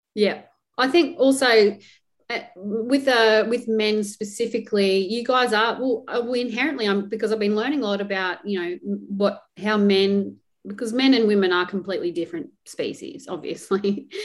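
The speaker has an Australian accent. Delivery is at a moderate pace with ordinary pitch variation. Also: woman, fairly high pitch for a woman. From Australia, rural. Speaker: podcast host, nurse. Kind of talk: casual interview chat.

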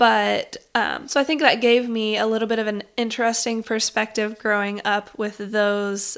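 In a plain, everyday voice, a woman speaks at a moderate pace with a fairly high pitch. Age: 30s. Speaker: podcast host, homeschooling mother and former teacher. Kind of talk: personal monologue.

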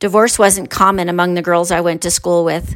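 Monotone, flat intonation from a woman at a medium pitch. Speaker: teacher and podcast host. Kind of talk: scripted narration.

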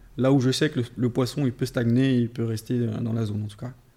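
His intonation stays monotone and flat. The man's pitch sits in the medium range. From Paris and Vendée, France. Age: 30s. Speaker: carp angler and shop owner. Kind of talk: casual chat.

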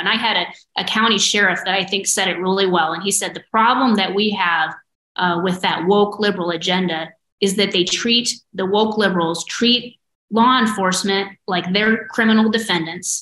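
A woman speaks at a moderate pace with a Midwestern American accent. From rural Iowa, near Dexter. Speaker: prosecutor and attorney general-elect. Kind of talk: casual interview.

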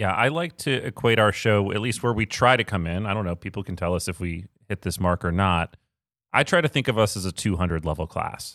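In a normal speaking voice, a man talks at a fairly low pitch and fairly quick pace with ordinary pitch variation, recorded dry and close with no echo, very clean, with a silent background. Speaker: podcast host. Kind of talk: casual interview conversation. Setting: in-person studio recording.

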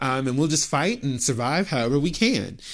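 A man with vocal fry and very wide pitch swings speaks at a moderate pace over a quiet background. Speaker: podcast host and showrunner. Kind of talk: solo monologue. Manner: casual, filler-heavy; unscripted.

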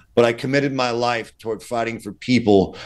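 Against a quiet background, a man talks at a fairly quick pace with medium pitch and fairly even intonation. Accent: New York. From Brooklyn, New York. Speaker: defense attorney. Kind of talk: interview. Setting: video call.

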